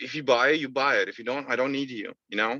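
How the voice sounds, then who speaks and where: Bright and sharp in tone, a man speaks with fairly even intonation against a quiet background. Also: dry, close sound with no echo. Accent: non-native. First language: not English. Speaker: sales rep. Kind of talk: interview. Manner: halting.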